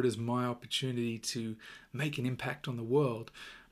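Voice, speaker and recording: With an Australian accent, a man at medium pitch talks at a moderate pace with fairly even intonation. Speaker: podcast host, self-improvement coach. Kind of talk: solo motivational talk. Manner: casual, filler-heavy with repetitions.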